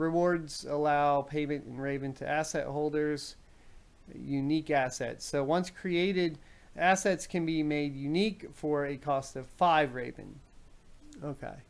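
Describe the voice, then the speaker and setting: At a fairly slow pace, a man with a fairly high pitch speaks with fairly even intonation. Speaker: crypto mining YouTuber. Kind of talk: live stream commentary reading a whitepaper. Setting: live stream. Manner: casual with frequent fillers.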